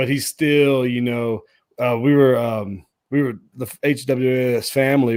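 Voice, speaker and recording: Using a normal speaking voice, a man with an American accent talks at a medium pitch with fairly even intonation on a very clean recording with a silent background. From US South, Nashville Tennessee. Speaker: podcast host. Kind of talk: casual interview chat.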